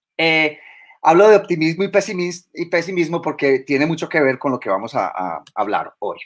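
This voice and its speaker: The background stays quiet. Against it, a man speaks fairly slowly with lively intonation. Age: 50s. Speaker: biologist and university lecturer; university lecturer. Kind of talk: lecture. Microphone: webcam.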